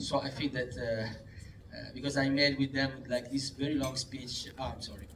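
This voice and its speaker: The man speaks in an Italian accent at medium pitch. His delivery is monotone and flat at a moderate pace. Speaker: film director. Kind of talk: festival Q&A. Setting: cinema screening with audience. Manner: halting.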